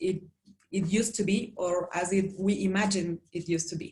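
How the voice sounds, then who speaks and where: A woman's somewhat breathy, dark, mellow voice with a Spanish accent and monotone, flat intonation. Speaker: cultural presenter interpreting for co-presenter. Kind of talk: online presentation. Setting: video call.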